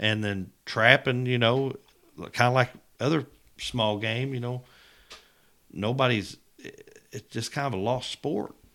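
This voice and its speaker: A man with an American accent speaks at a moderate pace in a bright, sharp tone, his medium pitch moving with ordinary variation. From Missouri. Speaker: turkey calling champion and hunter. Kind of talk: casual interview.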